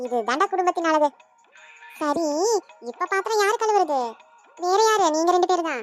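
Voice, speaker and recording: A cartoonish character voice with lively intonation at a moderate pace, faint music in the background. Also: woman, extremely high pitch for a woman, dry, close sound with no echo. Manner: affectionate, teasing.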